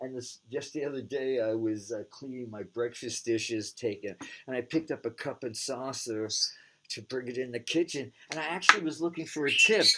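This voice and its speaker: The voice has a bright, sharp tone and moves at a fairly quick pace. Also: man, medium pitch for a man, ordinary pitch variation. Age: 70s. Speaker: psychic TV show host. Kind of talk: casual monologue. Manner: halting.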